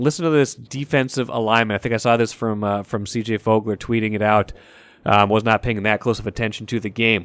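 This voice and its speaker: This man talks at a fairly quick pace with a medium pitch, fairly even intonation and an ordinary speaking voice. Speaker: sports podcast host. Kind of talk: casual sports talk show with interviews.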